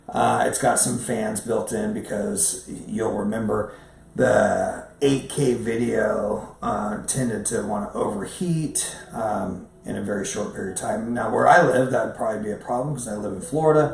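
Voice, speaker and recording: A man talks at a moderate pace. The room echo is audible, with light background noise. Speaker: professional photographer; camera reviewer. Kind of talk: casual talk to camera, camera review. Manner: halting, many fillers and repeats. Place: home room.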